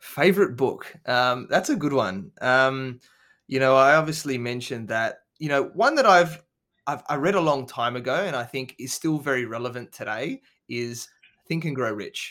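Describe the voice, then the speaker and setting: A man's bright, sharp, medium-pitched voice with an Australian accent, ordinary pitch variation and a moderate pace, in a very clean recording with a silent background. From Adelaide, South Australia. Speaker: business coach and podcast host. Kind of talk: interview. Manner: hesitant, many fillers.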